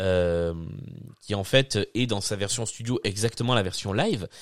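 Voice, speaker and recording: On a very clean recording with a silent background, a man with a normal speaking voice talks at a fairly slow pace with ordinary pitch variation. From southern France. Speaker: podcast host. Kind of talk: casual chat. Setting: live stream.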